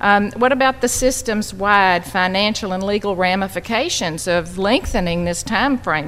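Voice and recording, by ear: A fairly bright tone at a moderate pace, with ordinary pitch variation and few pauses. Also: woman.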